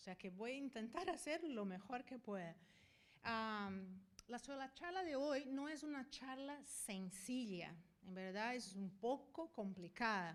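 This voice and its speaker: A woman speaks at a very slow pace with a fairly high voice. Her pitch swings very widely. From Brazil. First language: Portuguese (speaking Spanish). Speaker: veterinarian and university professor. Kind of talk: conference talk. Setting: stage with audience. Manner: animated, talks with hands and moves.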